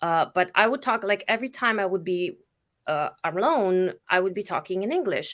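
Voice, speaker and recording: On a very clean recording with a silent background, a woman with a Slovenian accent speaks at a medium pitch and moderate pace with lively intonation. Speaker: spiritual facilitator. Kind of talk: casual chat. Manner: halting.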